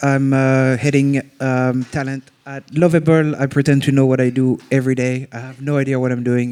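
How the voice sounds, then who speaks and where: Here a man speaks with a strong French accent. His pitch sits in the medium range. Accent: thick French. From France. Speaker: head of talent, panelist. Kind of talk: live panel discussion. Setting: stage with live audience.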